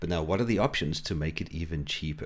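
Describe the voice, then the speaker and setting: With a South African accent, a man speaks at a fairly quick pace. His intonation is lively. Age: 40s. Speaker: financial advisor. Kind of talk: tutorial.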